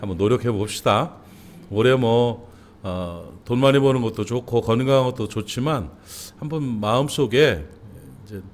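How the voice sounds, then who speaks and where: Long, frequent pauses break up a man's speech, which sits at a medium pitch with ordinary pitch variation. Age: 60s. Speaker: pastor. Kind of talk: sermon. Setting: church. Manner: conversational, with fillers.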